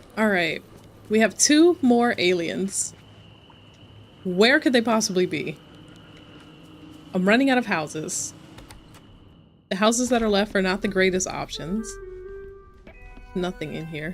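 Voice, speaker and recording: At a fairly slow pace, a woman speaks with lively intonation at medium pitch, leaving long, frequent pauses. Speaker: streamer. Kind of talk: gameplay livestream chat.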